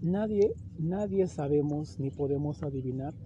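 A man talks with a fairly high pitch and ordinary pitch variation. His voice is somewhat breathy. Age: 30s. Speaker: podcast host. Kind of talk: solo motivational monologue. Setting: outdoors in a park.

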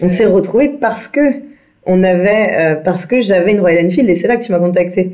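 Audible room echo surrounds a woman speaking at a moderate pace with very even loudness. Her medium pitch carries a dark, mellow tone and ordinary pitch variation. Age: 30s. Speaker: entrepreneur and motorcycle traveller. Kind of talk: interview. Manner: hesitant, many fillers.

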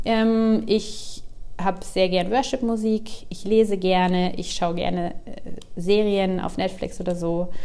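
A woman speaks very slowly at a medium pitch. Her tone is dark and mellow, her intonation fairly even. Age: 40s. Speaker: podcast host. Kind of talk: casual monologue. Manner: many filler sounds (ähm).

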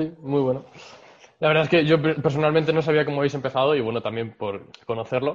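Talking at a very fast pace, a man uses fairly even intonation in a fairly high pitch. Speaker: podcast host. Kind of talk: interview conversation.

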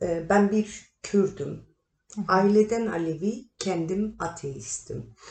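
This voice moves at a very slow pace, with ordinary pitch variation and a touch of vocal fry. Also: woman, medium pitch for a woman. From Turkey, Kahramanmaraş; childhood partly in Germany. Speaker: artist, sculptor. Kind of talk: interview.

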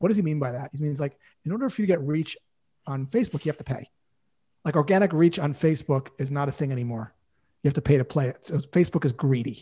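Over a silent background in a very clean recording, a man talks at a very fast pace with a fairly high pitch, ordinary pitch variation and a somewhat breathy, dark, mellow tone. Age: 50s. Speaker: sales coach. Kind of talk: casual chat. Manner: animated.

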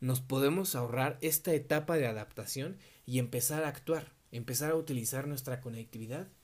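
Speaking with a Mexico City accent at a moderate pace, a man with a medium-pitched, somewhat breathy voice keeps his intonation fairly even on a very clean recording with a silent background. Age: 20s. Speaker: podcast host. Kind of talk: solo podcast monologue.

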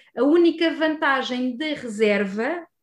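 With a European Portuguese accent, a woman speaks at a high pitch. The recording is very clean, with a silent background. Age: 30s. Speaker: archaeologist. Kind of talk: interview. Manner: hesitant, many fillers.

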